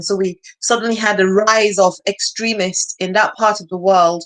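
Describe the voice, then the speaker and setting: A woman speaks in a Nigerian accent at a medium pitch. Her pitch varies in an ordinary way. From northeastern Nigeria. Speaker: nonprofit founder. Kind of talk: interview. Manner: halting.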